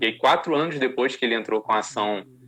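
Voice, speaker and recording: The voice belongs to a man. He speaks with ordinary pitch variation. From Rio de Janeiro, Brazil. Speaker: sports lawyer. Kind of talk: interview. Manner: halting, many repetitions.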